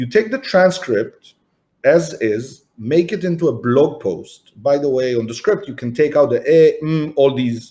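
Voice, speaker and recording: Somewhat breathy and dark and mellow in tone, the voice has very wide pitch swings and an Israeli accent. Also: man. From Israel, Tel Aviv. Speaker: entrepreneur and marketing agency founder. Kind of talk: podcast interview. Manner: animated.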